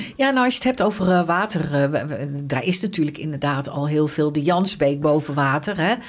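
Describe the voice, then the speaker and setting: Fairly quick speech with noticeable background noise. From Netherlands, Arnhem. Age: 60s. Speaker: local politician. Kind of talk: interview.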